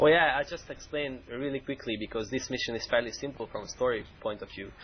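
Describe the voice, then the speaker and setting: Talking at a very fast pace, a man with a Hungarian accent uses a medium pitch and ordinary pitch variation. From Hungary, Budapest. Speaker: game mission designer. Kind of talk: game stream commentary. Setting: live stream.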